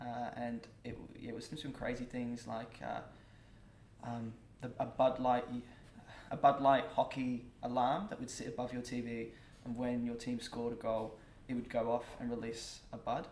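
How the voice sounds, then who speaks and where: A man speaks in a monotone, flat intonation with long, frequent pauses. Audible room echo and noticeable background noise surround him. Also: medium pitch for a man, moderate pace. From UK. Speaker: marketing manager. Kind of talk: casual interview chat.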